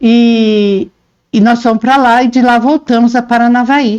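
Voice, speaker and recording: A woman is speaking. The background is quiet. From Paraná, Brazil (born in interior São Paulo). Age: 60s. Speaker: interviewee, reporter's mother, homemaker. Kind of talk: interview, life story.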